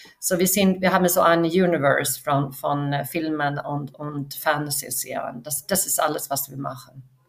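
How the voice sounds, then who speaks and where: A woman with a Swedish accent, very deep and low in pitch, at a moderate pace with fairly even intonation and hardly any pauses. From Sweden, west coast near Gothenburg. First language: Swedish (speaking German). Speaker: film studio finance executive. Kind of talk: interview. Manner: halting, many fillers.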